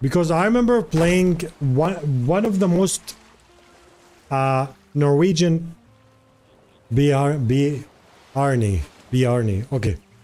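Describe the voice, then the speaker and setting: With music in the background, a man talks at a very slow pace with long, frequent pauses, using a fairly high pitch, lively intonation and very even loudness. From Jordan. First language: Arabic. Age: 20s. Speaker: streamer. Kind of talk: casual chat. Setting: live stream, on a walking pad. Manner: animated.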